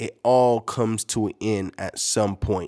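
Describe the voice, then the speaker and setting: A man's voice with fairly even intonation against a quiet background. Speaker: podcast host. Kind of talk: motivational podcast monologue. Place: home room.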